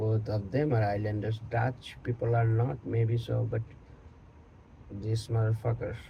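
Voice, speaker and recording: A man's voice of medium pitch, dark and mellow in tone and somewhat breathy, moves at a fairly slow pace in a monotone, flat intonation. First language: Bengali. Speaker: online content creator. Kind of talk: casual monologue on history.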